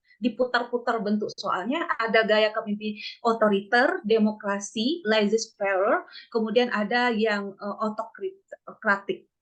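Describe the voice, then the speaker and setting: At a fairly slow pace, a woman with a Sumatran accent speaks at a fairly high pitch with ordinary pitch variation. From West Sumatra. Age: 40s. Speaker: nursing exam tutor. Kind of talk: online lecture. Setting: video call.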